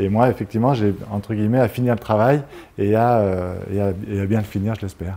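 Fairly low for a man, this voice has a dark, mellow tone, fairly even intonation and a fairly quick pace. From France, Grenoble (Isère); France. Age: 50s. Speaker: mayor and surveyor; mayor. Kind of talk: interview. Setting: TV studio set. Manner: halting, many hesitations. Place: studio. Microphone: lapel.

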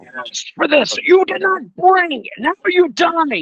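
Shouting loudly in a put-on character voice, the speaker uses an extremely high pitch, a fairly slow pace and a menacing, furious tone.

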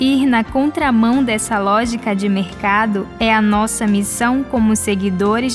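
Music plays behind a woman speaking at a medium pitch. Her pace is fairly slow and her intonation fairly even. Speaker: radio presenter. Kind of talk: religious radio reflection.

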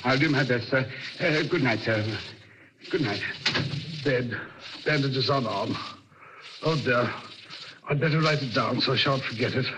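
A man's mumbling, put-on character voice at a medium pitch, with clear background noise. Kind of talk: 1940s radio acting. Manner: fussy, mumbling, deferential.

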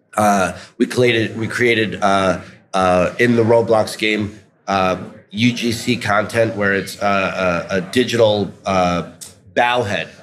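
With an American accent, a man speaks in a fairly low pitch and a monotone, flat intonation over light background noise. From New York City. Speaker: restaurant executive; guest. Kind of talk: interview. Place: hall. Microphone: studio mic.

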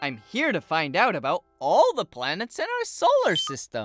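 Over faint music in the background, a cartoonish character voice speaks at a moderate pace in a middle pitch. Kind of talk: children's cartoon dialogue. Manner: upbeat, excited.

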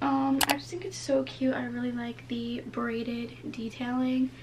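There is light background noise. The speech moves at a fairly slow pace. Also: woman. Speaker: vlogger. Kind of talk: casual vlog chat. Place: home room. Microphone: camera far.

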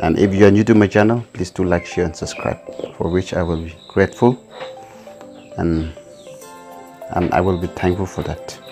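There is music in the background while a man speaks with ordinary pitch variation. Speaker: home vlogger. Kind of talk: casual unboxing commentary. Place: home room. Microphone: camera far.

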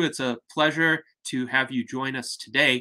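Against a quiet background, a man with a bright, sharp tone speaks fairly slowly with ordinary pitch variation. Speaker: host of online salon. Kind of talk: formal introduction. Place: home room. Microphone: webcam.

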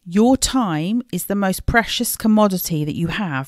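A woman with an English accent talks with lively intonation, in a dry, close recording with no echo and a very clean, silent background. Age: 40s. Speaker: podcast host and life coach. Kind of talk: solo podcast talk. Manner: warm and chatty.

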